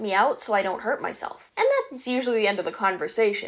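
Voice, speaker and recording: Over a quiet background, a woman with a Canadian accent speaks at a fairly quick pace with a fairly high pitch. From Canada. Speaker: YouTuber with a visual impairment. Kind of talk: vlog monologue. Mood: warm, encouraging. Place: home room.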